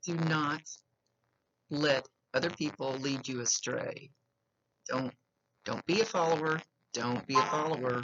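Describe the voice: A woman talks at a fairly slow pace with long, frequent pauses, her low pitch carrying ordinary variation and a fairly bright tone.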